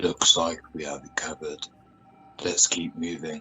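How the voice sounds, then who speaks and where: This is a put-on character voice at a moderate pace. Faint music plays in the background. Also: man, very deep, low pitch for a man. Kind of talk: radio drama.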